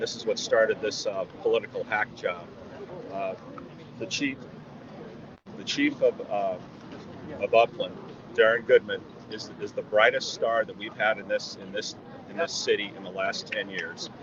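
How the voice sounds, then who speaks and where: A man with an American accent speaks with long, frequent pauses and big swings in loudness. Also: moderate pace. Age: 60s. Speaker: resident speaking at a rally. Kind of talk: impromptu interview at a rally. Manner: animated; halting, many fillers.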